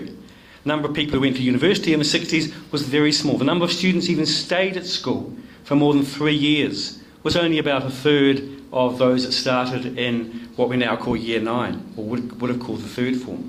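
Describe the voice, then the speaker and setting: A man with a fairly high pitch talks at a fairly quick pace, with noticeable background noise and audible room echo around him. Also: ordinary pitch variation. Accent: New Zealand. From New Zealand (rural Nelson). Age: 60s. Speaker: education academic. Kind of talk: speech to a club audience. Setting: room with audience.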